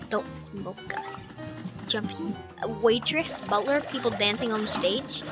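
Music plays in the background. A woman speaks at a moderate pace with lively intonation. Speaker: gamer. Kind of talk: gameplay commentary.

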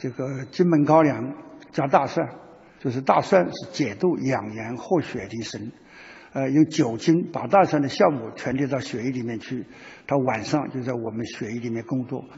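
Somewhat breathy, a man at a medium pitch speaks at a moderate pace with ordinary pitch variation. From Taiwan. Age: 80s+. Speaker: retired general, party leader. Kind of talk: interview answer.

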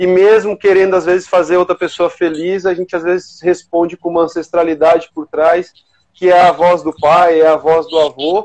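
A man at a high pitch with monotone, flat intonation and a moderate pace. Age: 40s. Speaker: engineer and researcher; guest. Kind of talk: casual panel chat. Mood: relaxed, reflective. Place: home room. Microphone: video call.

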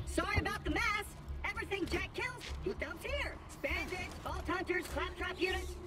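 A put-on character voice at an extremely high pitch and a moderate pace, over loud music in the background. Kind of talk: default cheerful tone set by programmers. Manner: cheerful, pleased.

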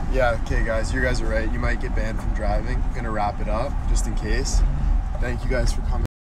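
A man talks at a fairly quick pace. The sound is dry with no echo, but the background noise is loud. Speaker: social media personality. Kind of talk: livestream chat. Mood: upbeat, grateful. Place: car. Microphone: phone near.

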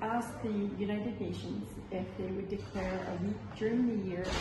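Amid noticeable background noise and audible room echo, the woman's words come at a moderate pace. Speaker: interfaith council host. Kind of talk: welcome address. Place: hall. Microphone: camera far.

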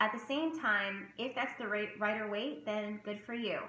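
A woman speaks with ordinary pitch variation over light background noise, and some room echo can be heard. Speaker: tarot reader and spiritual content creator; tarot teacher vlogger. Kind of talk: casual vlog tutorial. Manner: loud, animated. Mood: calm, warm. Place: home room. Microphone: webcam.

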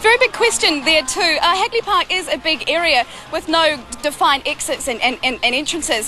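Over faint background noise, a woman speaks at a high pitch with lively intonation. Her tone is bright and sharp, and her pace is moderate.

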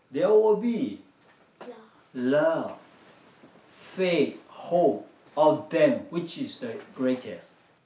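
High-pitched man at a very slow pace, with very wide pitch swings, long, frequent pauses and audible room echo. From Myanmar. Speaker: children's church teacher. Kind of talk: children's sermon. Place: home room.

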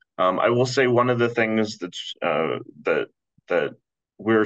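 A man's bright, sharp voice against a quiet background. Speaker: fraud education program manager; presenter. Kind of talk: panel presentation. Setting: video call. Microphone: webcam.

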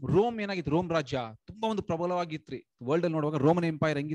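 Against a quiet background, a man with a high pitch and a dark, mellow tone speaks with ordinary pitch variation in a dry sound with no echo. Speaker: lay preacher. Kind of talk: Bible study sermon. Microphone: video call.

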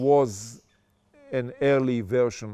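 The tone is dark and mellow. It comes from a man. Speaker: interviewee. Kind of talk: interview answer. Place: garden. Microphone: lapel.

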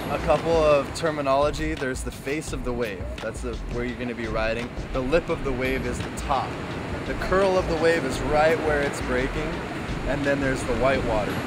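Music plays behind a man speaking. The sound is dry, with no echo. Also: moderate pace. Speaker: surf instructor. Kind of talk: tutorial. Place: beach.

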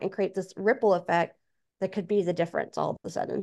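A woman's monotone, flat delivery against a quiet background. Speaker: author and speaker; podcast guest. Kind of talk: interview. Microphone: video call.

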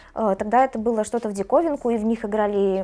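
With a fairly high pitch and a dark, mellow tone, a woman talks at a moderate pace with ordinary pitch variation. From Belarus. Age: 20s. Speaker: esports tournament organizer; interviewee. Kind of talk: documentary interview. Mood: relaxed, warm. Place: studio. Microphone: lapel.

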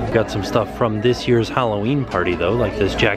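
The voice has a dry sound with no echo over loud background noise. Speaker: vlogger shopping. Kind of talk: casual vlog chat. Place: shop. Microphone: phone near.

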